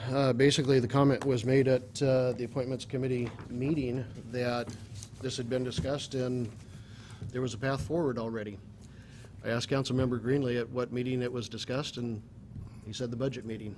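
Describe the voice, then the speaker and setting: A man talks at a fairly quick pace in a monotone, flat delivery. Light background noise is present. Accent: American. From US Pacific Northwest. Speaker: mayor chairing city council. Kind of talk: formal public meeting. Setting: council chamber. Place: hall. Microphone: podium.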